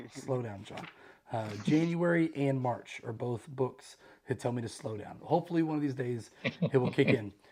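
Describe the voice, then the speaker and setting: With noticeable background noise, a man at a medium pitch speaks with ordinary pitch variation and big swings in loudness. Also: moderate pace. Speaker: book club host. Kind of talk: casual discussion.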